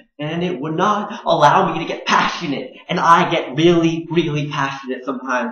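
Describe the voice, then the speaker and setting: The recording carries noticeable background noise and audible room echo. Through it, a man speaks at a moderate pace. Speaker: graduate student vlogger. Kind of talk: personal video blog. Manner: halting, repeated syllables and words.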